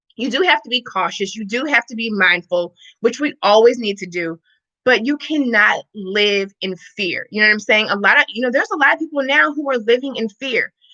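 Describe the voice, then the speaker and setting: Recorded with a dry, close sound and no echo, a woman with an American accent speaks at a fairly quick pace in a bright, sharp tone, with a fairly high pitch and lively intonation. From Missouri, US Midwest. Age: 30s. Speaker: fitness and wellness coach. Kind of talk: casual livestream chat. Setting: live stream. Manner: animated.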